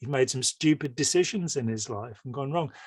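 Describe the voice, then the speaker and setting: A somewhat breathy man talks at a fairly quick pace, with a dry, close sound that has no echo. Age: 60s. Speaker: author and ex-cult critic. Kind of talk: casual chat. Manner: hesitant, repeats words.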